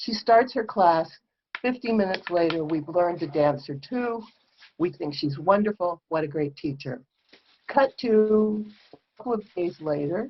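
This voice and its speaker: Moving at a moderate pace, a woman with a fairly low pitch uses a plain, everyday voice with lively intonation. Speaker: folk dancer. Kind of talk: tribute reminiscence speech.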